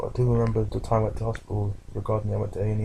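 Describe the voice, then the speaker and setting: A man talks at a very fast pace in a fairly low voice with a British accent. Noticeable background noise runs beneath him. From United Kingdom. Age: 20s. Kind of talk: personal video diary. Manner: hesitant, casual.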